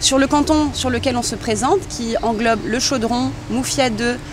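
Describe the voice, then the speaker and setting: A woman with a high-pitched voice talks very slowly with ordinary pitch variation, and noticeable background noise can be heard. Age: 30s. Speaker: local election candidate. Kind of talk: interview. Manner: hesitant, many fillers.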